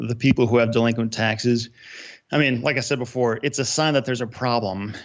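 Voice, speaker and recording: An ordinary speaking voice from a man at medium pitch, ordinary pitch variation, over a quiet background. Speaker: real estate investor.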